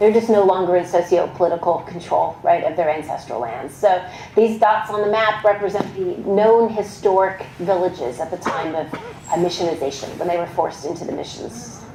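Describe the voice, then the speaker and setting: Over noticeable background noise and audible room echo, a woman with an American accent speaks at medium pitch with ordinary pitch variation. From Texas. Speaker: archaeologist giving a history talk. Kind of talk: public lecture. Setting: museum talk with audience. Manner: fast; not always clearly enunciated.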